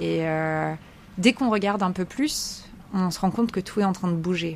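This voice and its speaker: Speaking at a fairly quick pace, a woman with a fairly low pitch shows ordinary pitch variation. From US, Maryland (Chesapeake Bay) until 12, then France. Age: 30s. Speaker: ocean conservation communicator. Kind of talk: interview. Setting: aboard a sailboat. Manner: hesitant, many euh fillers.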